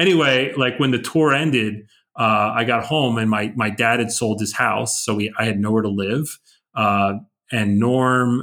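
A man speaks with an American accent. His pitch sits at a medium level. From New Jersey (Edison). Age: 50s. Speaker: punk and hardcore vocalist. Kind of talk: casual interview. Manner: halting, many fillers.

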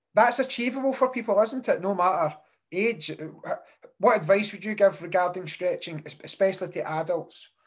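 A moderate pace with a Scottish accent. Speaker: podcast host. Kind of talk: casual chat.

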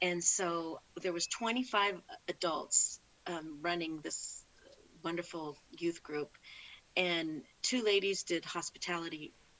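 A woman with an American accent speaks at a fairly low pitch with fairly even intonation. It is an ordinary speaking voice. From California. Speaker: parishioner sharing faith story. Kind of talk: casual interview.

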